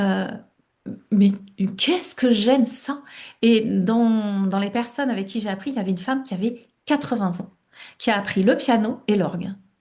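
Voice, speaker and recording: Speaking at a moderate pace, a woman uses a fairly high, somewhat breathy voice with a dark, mellow tone and ordinary pitch variation. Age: 60s. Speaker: life coach and author. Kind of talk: interview. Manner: hesitant, many fillers.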